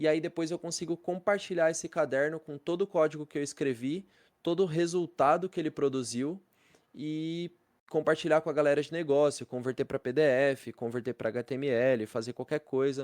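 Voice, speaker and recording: A man's fairly high voice, dry and close with no echo, over a quiet background. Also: ordinary pitch variation. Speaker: programming teacher. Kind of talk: live class lecture. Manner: fast; casual slangy.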